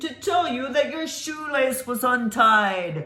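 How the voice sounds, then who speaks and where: Pitched high and delivered at a fairly slow pace, the put-on character voice unfolds. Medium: read story. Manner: teasing.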